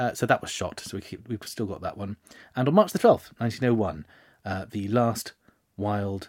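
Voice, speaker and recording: The recording is very clean, with a silent background. A man speaks at a fairly low pitch and a fairly slow pace. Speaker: history podcast host. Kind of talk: casual solo monologue.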